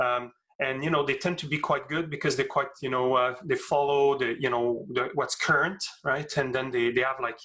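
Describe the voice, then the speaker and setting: A man's fairly high-pitched voice has a bright, sharp tone, very even loudness and fairly even intonation. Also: moderate pace. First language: French. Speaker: astrophysics professor. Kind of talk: interview Q&A. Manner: halting, many fillers and repeats.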